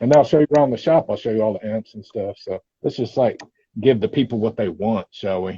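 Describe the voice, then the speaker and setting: Speaking at a very fast pace with a Texan accent, a man at medium pitch sounds somewhat breathy and uses ordinary pitch variation. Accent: Texan twang. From East Texas. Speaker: metal gear channel host. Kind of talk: casual chat. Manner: animated.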